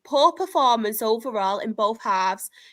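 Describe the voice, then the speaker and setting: A woman with a northern English accent, a bright, sharp tone, fairly high pitch and very wide pitch swings at a moderate pace, on a very clean recording with a silent background. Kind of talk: everyday.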